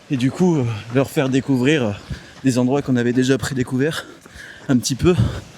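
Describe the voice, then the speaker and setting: A man at medium pitch talks at a fairly quick pace with long, frequent pauses, very even loudness and fairly even intonation, over noticeable background noise. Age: 20s. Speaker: engineer. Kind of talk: casual chat. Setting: outdoors.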